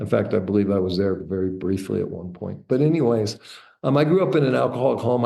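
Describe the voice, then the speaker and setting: Delivered at a very fast pace, the voice has a dark, mellow tone and vocal fry. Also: man. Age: 60s. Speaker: entrepreneur and author. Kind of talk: interview, personal life story. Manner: casual, with fillers and false starts.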